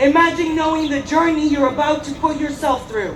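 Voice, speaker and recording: In a recording with audible room echo and noticeable background noise, a woman speaks in a high voice with fairly even intonation. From Mexico. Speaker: activist speaker. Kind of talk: rally speech.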